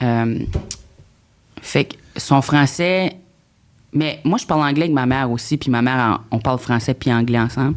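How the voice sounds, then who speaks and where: With an Acadian accent, a woman speaks in a very deep, low voice with ordinary pitch variation. She goes at a fairly slow pace with long, frequent pauses. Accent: Acadian French accent, kept. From New Brunswick, Acadian. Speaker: comedian, reality TV contestant. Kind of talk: podcast interview. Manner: halting.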